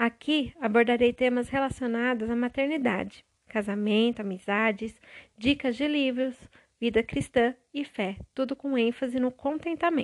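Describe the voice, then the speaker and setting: On a very clean recording with a silent background, a woman speaks in a high, warm voice at a fairly slow pace with ordinary pitch variation. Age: 30s. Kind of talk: devotional monologue. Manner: warm, intimate.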